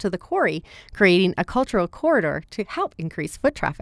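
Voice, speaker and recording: A woman speaks at a fairly quick pace in an ordinary speaking voice, with a medium pitch. The sound is dry and close with no echo, on a very clean recording with a silent background. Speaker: radio news reporter. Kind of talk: radio news report.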